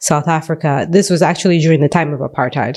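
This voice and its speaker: With a dark, mellow tone, a woman talks using ordinary pitch variation. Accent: Central American. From Belize. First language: Garifuna. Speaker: teacher and mother. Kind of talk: interview. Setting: studio.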